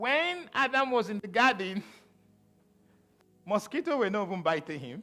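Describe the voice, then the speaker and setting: In a raised, projected voice, a man with a Nigerian accent speaks at a high pitch with very wide pitch swings. His loudness varies a lot, and he leaves long, frequent pauses. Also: moderate pace. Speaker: pastor. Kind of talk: sermon.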